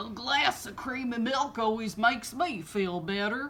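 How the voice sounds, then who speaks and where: A woman puts on a character voice, fairly high-pitched with lively intonation, at a moderate pace. Background noise is clearly heard. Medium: read story.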